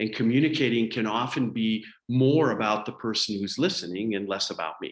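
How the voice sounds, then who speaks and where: A man with an American accent and an unremarkable speaking voice talks at a fairly quick pace. His pitch sits in the medium range and rises and falls in an ordinary way. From Colorado, US. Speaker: public speaking coach. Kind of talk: webinar training.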